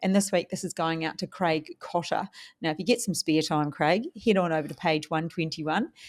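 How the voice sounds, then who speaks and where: A woman speaks with a New Zealand accent at a fairly low pitch. The recording is very clean, with a silent background. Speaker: podcast host, property investor. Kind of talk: casual chat.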